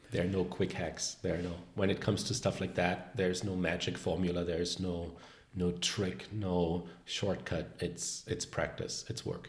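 Somewhat breathy, a man with a German accent talks at a moderate pace in a very deep, low pitch. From Germany, Bavaria border. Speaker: confidence coach, former animator. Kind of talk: casual interview. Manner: talkative, animated.

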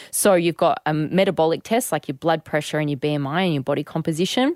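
Recorded very cleanly with a silent background and a dry, close sound with no echo, a woman with a very deep, low voice talks at a very fast pace with ordinary pitch variation. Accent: Australian. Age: 30s. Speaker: personal trainer and podcast co-host. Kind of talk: casual chat. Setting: studio.

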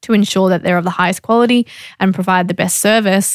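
The recording is very clean, with a silent background. A woman speaks at medium pitch in a monotone, flat way. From Australia. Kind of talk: interview.

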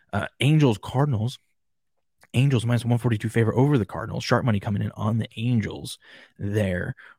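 Against a silent background in a very clean recording, a man with an American accent talks at a fairly quick pace and a medium pitch. His voice is somewhat breathy, with a dry, close sound and no echo. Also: ordinary pitch variation. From Washington State. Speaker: sports podcast host. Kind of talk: casual sports talk livestream. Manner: animated.

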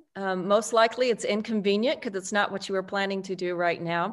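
A plain, everyday voice from a woman, medium in pitch, with fairly even intonation and a quiet background. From Texas, El Paso. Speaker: author and speaker. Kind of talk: interview.

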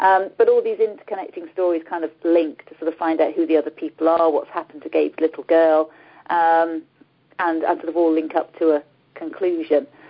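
A woman talks at a fairly quick pace with an East Midlands accent. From English East Midlands, Nottingham. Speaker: author. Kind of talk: casual interview.

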